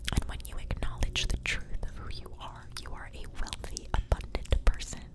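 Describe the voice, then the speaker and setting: Someone whispers in a gentle tone over noticeable background noise. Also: woman. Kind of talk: ASMR tarot reading. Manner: whispered, soft-spoken, gentle.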